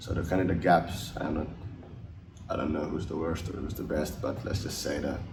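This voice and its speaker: Audible room echo and noticeable background noise surround a man's voice. He speaks at a moderate pace in a very deep, low pitch. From Finland. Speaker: ice hockey player. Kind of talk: interview. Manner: halting.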